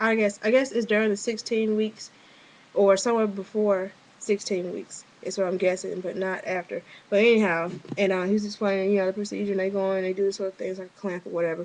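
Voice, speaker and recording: A woman at a very fast pace, medium in pitch, with monotone, flat intonation. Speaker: vlogger. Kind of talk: personal video diary. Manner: hesitant, many fillers.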